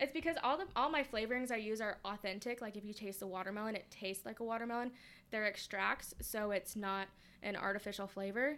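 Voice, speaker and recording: The tone is bright and sharp, with a Californian accent. The pace is very fast. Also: woman, fairly high pitch for a woman, ordinary pitch variation. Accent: Californian American. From Southern California (Lancaster). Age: 20s. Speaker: small business owner. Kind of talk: casual interview chat.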